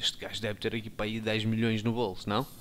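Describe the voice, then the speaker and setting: A man with a European Portuguese accent on a very clean recording against a silent background. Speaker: gaming youtuber. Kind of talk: let's play commentary. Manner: animated.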